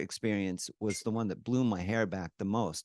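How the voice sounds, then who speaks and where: A man is talking at a medium pitch. The variation in his pitch is ordinary. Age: 50s. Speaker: product user sharing testimonial. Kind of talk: interview testimony. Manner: halting, many fillers.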